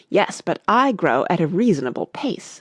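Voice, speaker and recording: Putting on a growling character voice, a woman speaks at a moderate pace and medium pitch with very wide pitch swings. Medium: read story. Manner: peevish.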